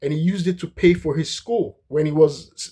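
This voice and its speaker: With a non-native accent, a man speaks at a moderate pace in a fairly high voice with a dark, mellow tone and fairly even intonation. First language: not English. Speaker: history commentator. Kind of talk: casual monologue lecture. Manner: halting, many fillers and restarts.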